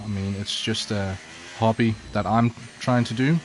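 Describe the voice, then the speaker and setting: A man talks at a fairly slow pace and medium pitch with fairly even intonation, against noticeable background noise. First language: not English. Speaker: sim racing streamer. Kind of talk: live gameplay commentary. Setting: livestream reading chat. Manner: casual, hesitant with fillers.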